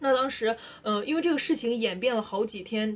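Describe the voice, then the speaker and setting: Through noticeable background noise, a woman speaks at a moderate pace in a fairly high pitch. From northern China. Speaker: student evacuated from war zone. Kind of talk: personal storytelling in casual interview. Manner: animated.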